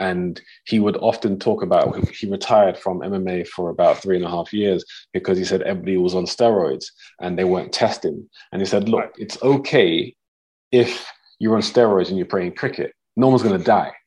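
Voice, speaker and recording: A fairly low-pitched man with a dark, mellow tone and a London accent, at a fairly quick pace. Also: ordinary pitch variation. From northwest London. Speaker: podcast host and coach. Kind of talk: casual interview. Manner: frequent fillers.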